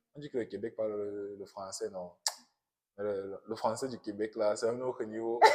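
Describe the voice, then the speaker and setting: A man with a Cameroonian accent speaks at a moderate pace. His voice is fairly low-pitched and his intonation monotone and flat. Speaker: international student, immigrant worker. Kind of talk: testimony in a podcast interview. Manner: hesitant, repeats words.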